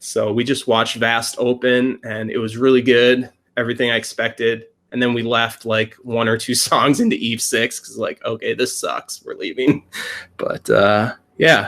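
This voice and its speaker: Someone speaks at a moderate pace with a Wisconsin accent. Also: man. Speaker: YouTuber. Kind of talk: casual chat.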